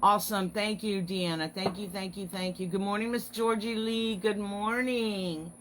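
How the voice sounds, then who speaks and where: Over noticeable background noise, a woman talks at a moderate pace with hardly any pauses. Her pitch is medium and her intonation fairly even. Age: 50s. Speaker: online craft business owner hosting weekly encouragement live stream. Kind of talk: casual live stream chat. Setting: Facebook live video. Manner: chatty, friendly.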